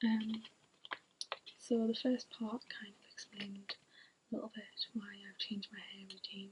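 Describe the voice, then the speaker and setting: A woman is whispering. She is soft-spoken. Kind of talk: ASMR hair care talk to camera. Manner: whispered, soft-spoken.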